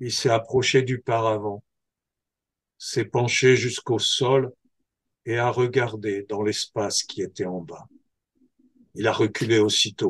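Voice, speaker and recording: The speech is very slow, somewhat breathy and fairly even in intonation, with long, frequent pauses. The sound is dry and close with no echo, over a quiet background. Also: man, medium pitch for a man. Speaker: storyteller. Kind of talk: oral folktale telling.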